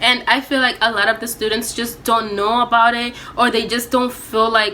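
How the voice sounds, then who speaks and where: At a moderate pace, the voice holds a monotone, flat intonation over noticeable background noise. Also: woman. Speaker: college student vlogger. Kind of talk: casual vlog story time. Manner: loud.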